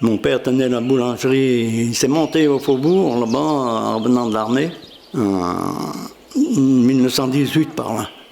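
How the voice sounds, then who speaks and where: Amid noticeable background noise and audible room echo, a man speaks very slowly at a medium pitch with ordinary pitch variation. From Châbons, Isère, France. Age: 90s. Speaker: elderly villager. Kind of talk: interview testimony.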